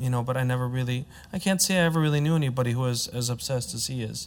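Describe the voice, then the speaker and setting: A man with a Midwestern accent talks at a very fast pace in a fairly high pitch with ordinary pitch variation. The recording is very clean, with a silent background. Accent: American, Midwest. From US, Chicago. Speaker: opera tenor. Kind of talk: panel discussion.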